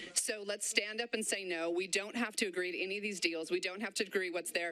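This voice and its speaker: Against noticeable background noise, a woman with a medium pitch talks at a very fast pace with fairly even intonation. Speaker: public commenter at council meeting. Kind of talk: public comment. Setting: council meeting.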